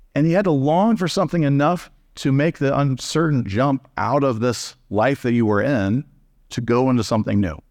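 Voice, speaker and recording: A man with an American accent talks at a moderate pace and medium pitch in an unremarkable speaking voice, with lively intonation, very even loudness, and a quiet background. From Texas. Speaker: pastor. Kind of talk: sermon. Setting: church.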